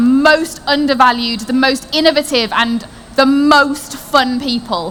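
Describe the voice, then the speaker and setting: Clearly audible noise runs behind a voice whose pitch moves in a normal way. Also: woman. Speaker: marketing consultant. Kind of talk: conference talk. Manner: animated.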